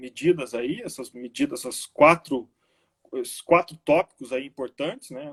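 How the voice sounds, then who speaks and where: A man speaks at a fairly slow pace, his voice making very wide pitch swings. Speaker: teacher. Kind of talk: online lecture. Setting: live stream.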